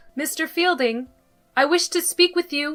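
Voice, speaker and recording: In a put-on character voice, a woman squeaks at an extremely high pitch and a moderate pace while faint music plays in the background. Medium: audio drama. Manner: polite, gentle, measured.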